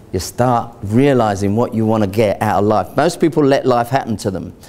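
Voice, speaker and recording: A man talks at a moderate pace. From England. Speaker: financial adviser. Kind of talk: sales pitch. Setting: stage with audience. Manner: casual, conversational with frequent fillers. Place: hall.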